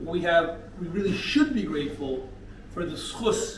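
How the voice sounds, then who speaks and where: Speaking with an American accent and lively intonation at a moderate pace, the voice carries audible room echo over noticeable background noise. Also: man. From North America. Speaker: rabbi of community. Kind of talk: sermon. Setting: men's breakfast gathering.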